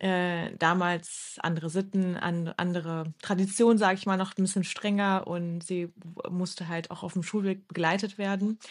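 Against a quiet background, a woman of medium pitch speaks at a moderate pace with monotone, flat intonation. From Düsseldorf, Germany. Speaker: podcast co-host. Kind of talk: casual chat. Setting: at home, remote recording.

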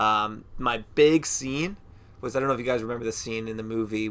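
This man has a plain, everyday voice, pitched in the medium range, and his intonation stays fairly even. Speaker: podcast host. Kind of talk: casual chat.

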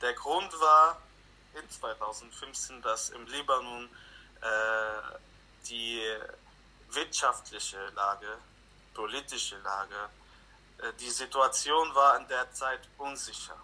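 Talking at a very slow pace, a man leaves long, frequent pauses while his loudness swings widely. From Lebanon. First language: Arabic (speaking German). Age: 20s. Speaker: refugee interviewee. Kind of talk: interview.

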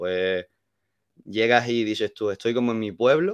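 The sound is dry and close with no echo, and the background is quiet. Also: man. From Andalusia, Málaga. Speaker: hospitality worker. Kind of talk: casual chat.

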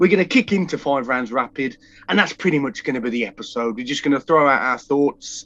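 Talking at a very fast pace, a man with a British accent uses a fairly high pitch and ordinary pitch variation. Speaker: podcast co-host. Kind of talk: casual chat.

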